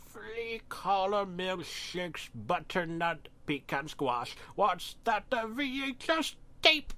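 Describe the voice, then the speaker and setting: Using a put-on character voice, a man talks at a very slow pace, high in pitch with very wide pitch swings. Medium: read story. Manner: erratic, manic.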